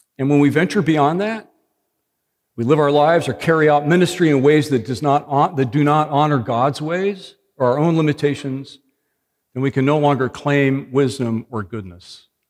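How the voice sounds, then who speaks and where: Over a quiet background, a man uses an ordinary speaking voice at a fairly high pitch, with ordinary pitch variation. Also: moderate pace. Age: 60s. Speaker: pastor. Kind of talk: sermon.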